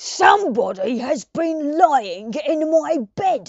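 This put-on character voice is gruff and high-pitched. It moves at a very slow pace.

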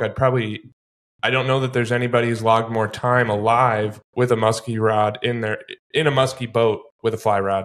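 Against a quiet background, a man with an American accent speaks at a fairly quick pace and medium pitch, his intonation monotone and flat. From US Midwest. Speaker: podcast host. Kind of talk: casual interview. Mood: admiring, warm. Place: studio. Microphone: studio mic.

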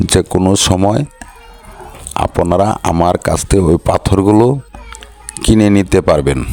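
Very deep, low man's voice at very even loudness, dry and close with no echo, over noticeable background noise. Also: ordinary pitch variation. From Bangladesh, Sunamganj (Sylhet region). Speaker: vlogger and limestone trader. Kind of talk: walking vlog, casual talk to camera. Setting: outdoors at a border crossing.

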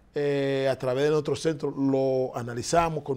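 A man with a fairly high pitch and a dark, mellow tone speaks in a monotone, flat way. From Dominican Republic. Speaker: foundation director; interview guest. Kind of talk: interview. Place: studio. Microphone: lapel.

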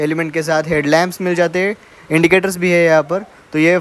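A man speaks at a moderate pace in a high-pitched voice. His intonation stays flat and monotone. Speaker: vehicle reviewer. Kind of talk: vehicle walkaround commentary. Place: open country. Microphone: phone near.

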